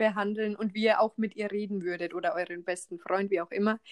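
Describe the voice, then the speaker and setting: With ordinary pitch variation, a woman talks in a dry, close sound that has no echo. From Bavaria, then Rhineland-Palatinate. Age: 20s. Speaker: trainee care worker, podcaster. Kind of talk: casual chat.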